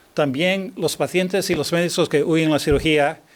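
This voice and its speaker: Fairly slow speech with a non-native accent and ordinary pitch variation, on a very clean recording with a silent background. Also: man. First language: not Spanish (speaking Spanish). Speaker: neurosurgeon. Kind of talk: lecture. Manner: halting.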